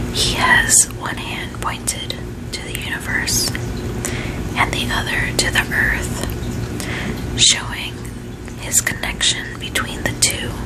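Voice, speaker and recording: Whispering at a very slow pace amid noticeable background noise. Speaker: ASMR creator, tarot reader. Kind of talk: ASMR tarot card explanation. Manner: whispered.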